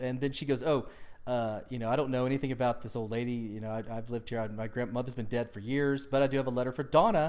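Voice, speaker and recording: A man of medium pitch talks at a very fast pace. He leaves hardly any pauses. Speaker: podcast host. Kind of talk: casual chat. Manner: animated.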